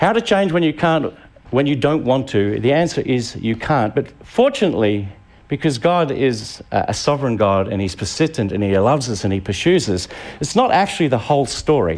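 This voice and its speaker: With an Australian accent, a man speaks at a moderate pace and medium pitch, his pitch swinging very widely. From Tasmania, Australia. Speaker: pastor. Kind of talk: sermon. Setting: church with live audience.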